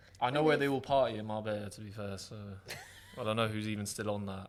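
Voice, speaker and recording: Over noticeable background noise, a man with a southern English accent talks at a very fast pace in a fairly low voice, with big swings in loudness. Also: fairly even intonation. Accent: southern English, between posh and Essex. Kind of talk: casual.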